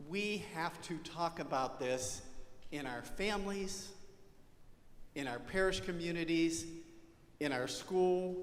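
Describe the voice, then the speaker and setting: A man talks at a very slow pace in a high pitch, leaving long, frequent pauses, with audible room echo. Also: ordinary pitch variation. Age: 60s. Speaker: parish ministry leader. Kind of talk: parish presentation.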